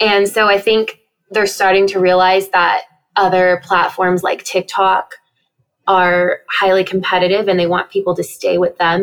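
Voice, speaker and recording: A woman with an American accent talks at a moderate pace in an unremarkable speaking voice. Her pitch is medium, and her loudness stays very even. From US Southwest and Texas. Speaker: dog social media creator. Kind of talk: interview.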